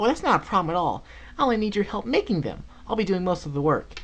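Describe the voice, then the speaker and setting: This man puts on a character voice at a high pitch for a man and races along at a very fast pace. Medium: read story. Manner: excited, gleeful.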